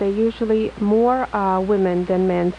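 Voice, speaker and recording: Noticeable background noise runs throughout. A woman is speaking. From Poland, moved to US in high school. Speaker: plastic surgeon. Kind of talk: radio call-in interview. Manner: halting, many fillers.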